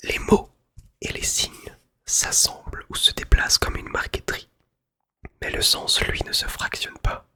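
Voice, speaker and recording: Whispering at a fairly slow pace, a man leaves long, frequent pauses and his loudness swings widely. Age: 20s. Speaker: music teacher, ASMR creator. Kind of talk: literary book reading, essay on music. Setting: studio, close-up microphone. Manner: whispered, soft-spoken.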